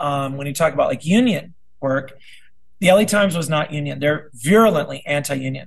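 With ordinary pitch variation, this man talks in a somewhat breathy voice. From South Dakota. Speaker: middle school teacher and union delegate. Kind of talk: casual interview.

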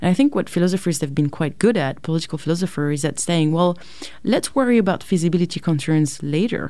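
A voice with a dark, mellow tone and a French accent moves at a very fast pace with lively intonation. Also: woman, fairly low pitch for a woman. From France, suburbs of Paris. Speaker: philosophy professor. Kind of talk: interview.

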